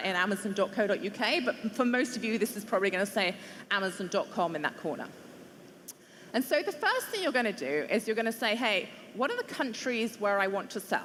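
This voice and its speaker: The speaker talks at a fairly quick clip with lively intonation over noticeable background noise. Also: woman. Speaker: e-commerce company presenter. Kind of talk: conference presentation.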